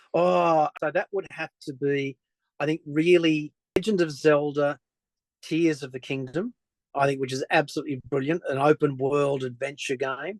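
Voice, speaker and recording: A man with an Australian accent speaks at a moderate pace in a fairly high pitch. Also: ordinary pitch variation, dry, close sound with no echo. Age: 60s. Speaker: journalist. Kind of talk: interview conversation.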